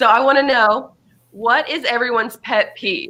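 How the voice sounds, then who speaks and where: A woman speaks in a high pitch with a bright, sharp tone. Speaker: discussion leader. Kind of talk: group discussion. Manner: fast.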